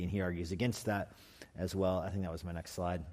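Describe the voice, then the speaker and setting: An American-accented man talks very fast. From New Mexico, US. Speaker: pastor. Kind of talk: lecture. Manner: halting.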